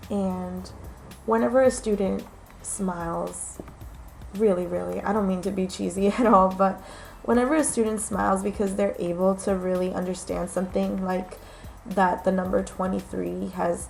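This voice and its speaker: Music plays in the background as a woman with an American accent speaks at a moderate pace. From New York. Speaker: aspiring special education teacher. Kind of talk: casual talk to camera.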